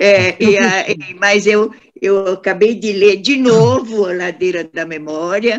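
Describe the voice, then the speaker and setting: The woman talks very slowly, her medium pitch varying in an ordinary way. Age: 90s. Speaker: book club member. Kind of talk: casual chat.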